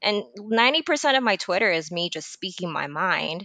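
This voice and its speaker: A woman with an American accent talks at a fairly quick pace, her tone bright and sharp. Her intonation is lively, and the sound is dry and close with no echo. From Texas. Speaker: podcast guest. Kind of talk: casual conversational discussion.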